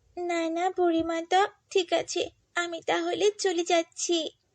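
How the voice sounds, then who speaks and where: This is a cartoonish character voice that sounds female, with an extremely high pitch. It moves at a fairly slow pace. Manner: timid, stammering.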